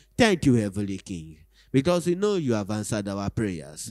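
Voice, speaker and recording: A man talks with a fairly low pitch. His voice moves through very wide pitch swings. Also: quiet background. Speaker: church prayer leader. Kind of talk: fervent prayer and devotional reading. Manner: fervent, earnest, reverent. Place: church. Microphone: handheld.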